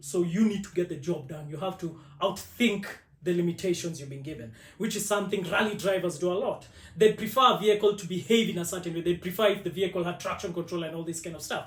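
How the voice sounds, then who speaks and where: Speech rushes by at a very fast pace with big swings in loudness. Pitch variation is ordinary. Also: man. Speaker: automotive content creator. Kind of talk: podcast interview. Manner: loud, talkative.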